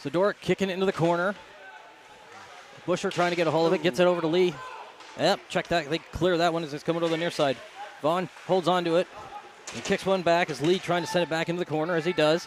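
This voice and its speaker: Delivered at a very fast pace yet with long, frequent pauses, the monotone, flat speech sits over noticeable background noise. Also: man, high pitch for a man. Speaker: play-by-play commentator. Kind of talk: live commentary.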